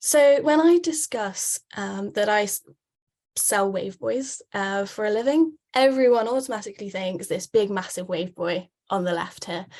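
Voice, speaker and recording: A woman with a British accent, medium pitch, lively intonation and a fairly slow pace. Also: quiet background. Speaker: wave buoy sales representative. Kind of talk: webinar presentation. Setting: online webinar. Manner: frequent filler words (um).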